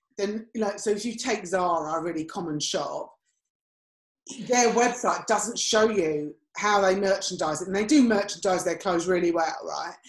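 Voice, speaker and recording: This woman talks at a moderate pace and medium pitch. She shows ordinary pitch variation. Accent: English. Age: 50s. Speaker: podcast co-host and image consultant. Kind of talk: casual chat.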